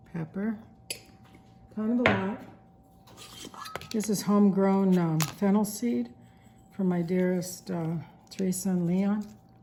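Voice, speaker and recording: Noticeable background noise sits behind a woman's voice. She moves at a fairly slow pace, with long, frequent pauses. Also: medium pitch for a woman, ordinary pitch variation. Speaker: cooking channel host. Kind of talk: cooking tutorial.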